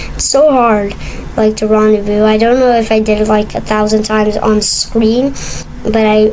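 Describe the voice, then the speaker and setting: A woman speaks with a fairly high pitch and monotone, flat intonation at a moderate pace. There is noticeable background noise and audible room echo. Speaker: gaming video creator. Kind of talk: gameplay commentary. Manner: halting, many fillers and restarts; casual, rambling.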